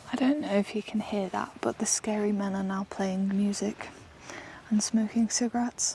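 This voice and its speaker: Quietly and at a moderate pace, a woman speaks with an English accent and fairly even intonation over noticeable background noise. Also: medium pitch for a woman. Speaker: solo camper vlogger. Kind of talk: outdoor vlog narration. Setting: outdoors in a forest. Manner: quiet, hushed.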